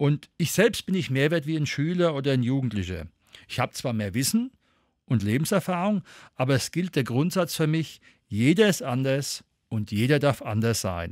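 In a very clean recording with a silent background, a man speaks at a moderate pace in a fairly high pitch, his pitch swinging very widely. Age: 50s. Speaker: educator and volunteer prevention trainer. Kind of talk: interview.

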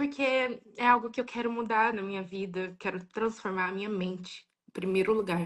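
A woman talks at a fairly slow pace with fairly even intonation against a quiet background. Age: 20s. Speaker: viewer on live call. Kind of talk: personal testimony. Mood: earnest, personal. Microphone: video call.

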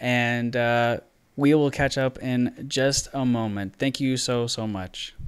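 Against a quiet background, a man speaks at a very slow pace. His pitch is medium and his intonation fairly even. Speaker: podcast host. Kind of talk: casual interview. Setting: video call. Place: home room. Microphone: studio mic.

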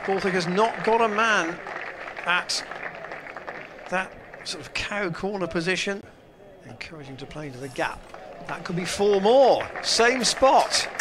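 Over crowd noise in the background, a man with a high voice talks fairly slowly, his intonation lively and his loudness swinging widely. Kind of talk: live cricket commentary. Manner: fluent, measured, steady delivery.

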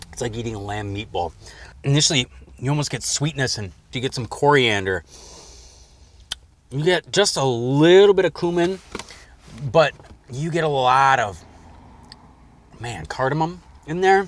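In a dry recording with no echo, a man speaks at a moderate pace with long, frequent pauses. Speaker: food show host. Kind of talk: food tasting commentary. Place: car.

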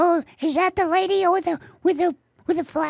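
An extremely high-pitched, put-on character voice. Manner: cartoonish.

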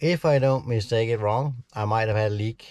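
Dry with no echo, a man's voice has a dark, mellow tone, ordinary pitch variation and a fairly quick pace. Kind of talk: casual vlog chat. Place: car. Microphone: phone near.

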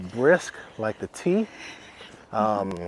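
With dry sound and no echo, a man speaks. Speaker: real estate channel host. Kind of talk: casual walking tour narration. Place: forest. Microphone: phone near.

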